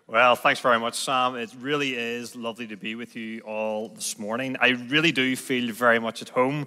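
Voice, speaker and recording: A medium-pitched man with a Belfast accent and a bright, sharp tone, moderate pace, hardly any pauses, monotone, flat intonation and big swings in loudness, on a very clean recording with a silent background. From Northern Ireland, Belfast. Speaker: guest preacher. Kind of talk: sermon.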